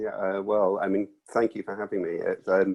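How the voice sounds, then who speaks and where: A man's voice in dry, close sound with no echo. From South Wales. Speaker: author. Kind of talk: interview. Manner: halting, many fillers and restarts.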